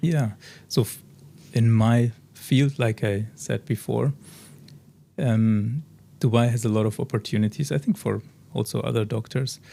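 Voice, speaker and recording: Speaking fairly slowly with long, frequent pauses, a man with a German accent has a medium-pitched, somewhat breathy voice with a dark, mellow tone. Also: ordinary pitch variation. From Germany, Bavaria near Munich. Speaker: oral surgeon. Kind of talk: interview. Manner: halting.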